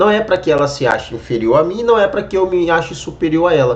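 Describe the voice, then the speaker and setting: The intonation of this man's speech is lively. Vocal fry runs through his voice. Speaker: evangelical YouTuber commenting on a video. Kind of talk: reaction video commentary.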